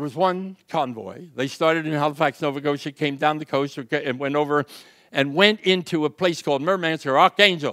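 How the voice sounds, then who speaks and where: With a Philadelphia accent, a man with a fairly high pitch talks in an animated, bright and sharp tone at a moderate pace with ordinary pitch variation over a quiet background. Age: 90s. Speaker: WWII merchant marine veteran, public speaker. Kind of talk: speech to audience. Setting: stage with audience. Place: stage. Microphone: handheld.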